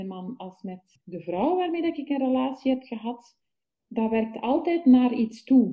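A woman with a Flemish accent, somewhat breathy, at a fairly slow pace, with very wide pitch swings. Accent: Flemish Dutch. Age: 40s. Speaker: festival participant. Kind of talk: casual chat. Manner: halting.

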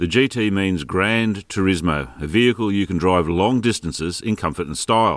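A man with a plain, everyday voice speaks at a fairly low pitch and a moderate pace. His intonation is lively, and the recording is very clean with a silent background. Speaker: car reviewer. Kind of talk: scripted review reading.

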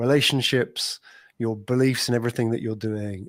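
A man's medium-pitched voice in a London accent, fairly slow with fairly even intonation, in a very clean recording with a silent background and a dry, close sound with no echo. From London, England. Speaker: podcast agency owner, entrepreneur. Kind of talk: casual interview.

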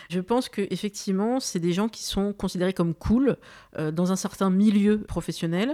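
At a moderate pace, the voice has a dark, mellow tone and ordinary pitch variation, with a dry, close sound with no echo in a very clean recording with a silent background. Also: woman, medium pitch for a woman. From France, Algerian heritage. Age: 40s. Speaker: podcast host. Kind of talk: interview.

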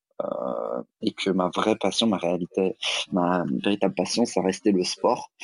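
A man's very deep, low voice with vocal fry and ordinary pitch variation, at a fairly slow pace, in a dry, close sound with no echo. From Alsace, France (Strasbourg). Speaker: fitness coach and yoga teacher. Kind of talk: interview. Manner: hesitant, many fillers.

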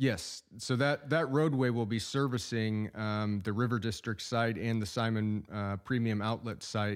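In an ordinary speaking voice with an American accent, the speaker goes at a fairly slow pace with hardly any pauses, in a very clean recording over a silent background. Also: man, medium pitch for a man, fairly even intonation. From Oklahoma. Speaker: city manager. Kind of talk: radio interview.

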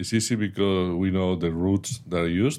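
A man speaks with a very deep, low pitch and a Spanish accent. His pitch varies in an ordinary way. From Spain. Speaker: strategic analyst, former national security advisor. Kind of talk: interview. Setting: studio.

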